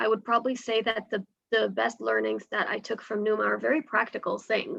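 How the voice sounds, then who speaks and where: Her speech moves at a moderate pace. The woman has an American accent. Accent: sounds American. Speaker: startup sales professional. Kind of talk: webinar panel talk.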